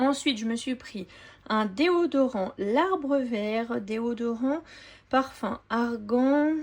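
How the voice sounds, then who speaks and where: Very slow pace with ordinary pitch variation. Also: woman, high pitch for a woman. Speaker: family grocery-haul vlogger. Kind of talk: product haul show-and-tell. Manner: casual, hesitant with frequent fillers.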